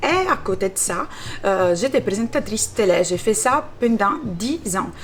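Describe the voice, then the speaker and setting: The speech comes in an Italian accent at a fairly slow pace. Background noise is noticeable. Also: woman. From Italy. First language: Italian (speaking French). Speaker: social media cook. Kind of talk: interview. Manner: talkative, many hesitations; bubbly.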